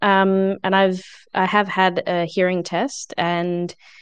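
Against a quiet background, someone talks with an Australian accent. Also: woman. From Adelaide, South Australia. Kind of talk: casual interview.

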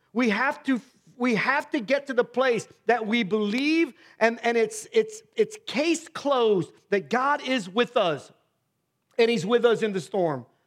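A loud, animated man's voice at an extremely high pitch, with ordinary pitch variation and a fairly slow pace. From US Midwest, Ohio. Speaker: pastor. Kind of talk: sermon. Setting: church.

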